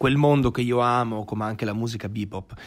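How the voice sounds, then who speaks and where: A normal speaking voice from a man, fairly quick in pace with fairly even intonation. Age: 20s. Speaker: actor and musician. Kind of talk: casual interview.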